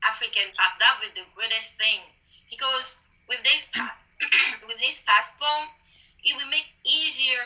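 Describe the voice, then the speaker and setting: The speaker has a non-native accent. The pace is fairly slow. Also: woman. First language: not English. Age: young. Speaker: beauty queen. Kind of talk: interview. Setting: video call. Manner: halting.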